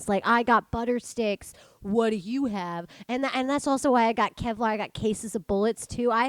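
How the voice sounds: A woman with an American accent talks at a fairly quick pace, fairly high in pitch with fairly even intonation, in a dry, close sound with no echo.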